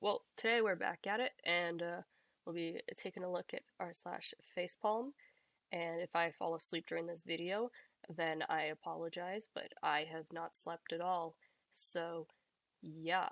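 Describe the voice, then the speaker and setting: Soft-spoken, a woman talks at a fairly slow pace in a fairly low pitch. Her pitch variation is ordinary, and the sound is dry and close with no echo. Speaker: reddit post reader. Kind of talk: casual reading aloud of posts with commentary.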